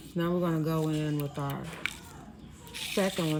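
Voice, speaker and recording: A woman speaks with a very deep, low voice, with noticeable background noise and audible room echo. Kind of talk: tutorial. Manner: casual, conversational.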